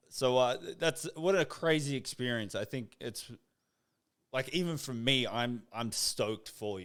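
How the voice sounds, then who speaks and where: A man with an ordinary speaking voice and lively intonation is heard on a very clean recording with a silent background. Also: medium pitch for a man, fairly slow pace. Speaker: podcast host. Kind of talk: casual talk.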